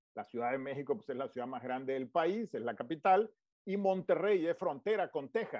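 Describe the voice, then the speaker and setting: Lively intonation marks the fairly high voice of this man. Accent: Tabasco. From Tabasco, Mexico. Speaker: politician and businessman. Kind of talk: interview.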